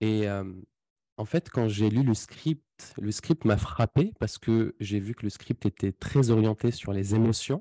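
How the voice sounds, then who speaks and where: Against a quiet background, a man with a fairly low pitch and a dark, mellow tone speaks at a very slow pace with ordinary pitch variation and hardly any pauses. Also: dry, close sound with no echo. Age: 20s. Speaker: sales closing coach and entrepreneur. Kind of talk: podcast interview. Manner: hesitant, many fillers and repetitions.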